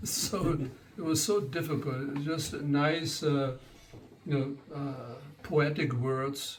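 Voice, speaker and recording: A fairly high-pitched man in a German accent talks at a very slow pace with long, frequent pauses and fairly even intonation, with audible room echo around him. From German-speaking country. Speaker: spiritual teacher. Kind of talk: lecture. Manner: halting.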